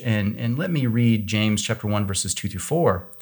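A somewhat breathy man speaks at a fairly quick pace with an American accent. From US Midwest, Kansas. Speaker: Bible scholar, professor. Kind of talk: theological discussion.

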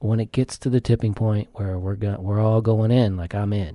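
A man's somewhat breathy voice with a dark, mellow tone, an American accent, a fairly quick pace and fairly even intonation, recorded dry and close with no echo over a quiet background. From US South. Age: 40s. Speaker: psychiatric nurse and base jumper. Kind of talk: casual chat. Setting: studio.

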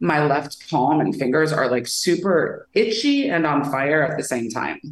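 A woman speaks with an American accent and a very deep, low pitch. Her pace is moderate. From US Midwest. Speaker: filmmaker. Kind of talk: casual chat.

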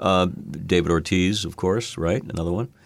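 In an American accent, a man speaks at a moderate pace with a very deep, low pitch. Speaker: podcast host. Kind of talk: interview.

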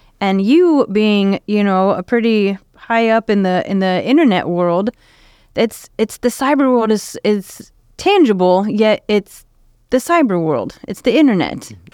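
Lively intonation marks a woman's unremarkable speaking voice, fairly high in pitch and fairly slow in pace, in a dry, close sound with no echo. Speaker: community radio host. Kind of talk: casual radio interview. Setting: radio studio. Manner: warm, upbeat.

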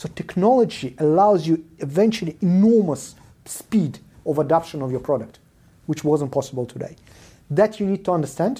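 A man's fairly high-pitched voice with a dark, mellow tone, lively intonation and a moderate pace. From Israel and South Africa, born in Soviet Union. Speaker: venture capital investor. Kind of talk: casual interview chat. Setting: in-person recording.

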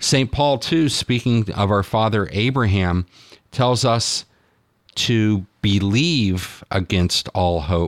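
Very slow, lively intonation at very even loudness, in a dry, close sound with no echo and a very clean recording over a silent background. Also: man, fairly low pitch for a man. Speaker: radio host. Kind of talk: devotional radio program, reading a homily. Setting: studio.

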